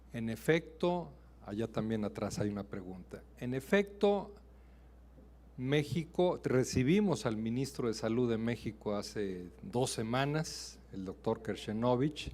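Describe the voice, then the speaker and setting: This man speaks very slowly in a Mexican accent, at a medium pitch. His intonation is lively. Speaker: ambassador, diplomat. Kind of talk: answering questions after a lecture. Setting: university auditorium.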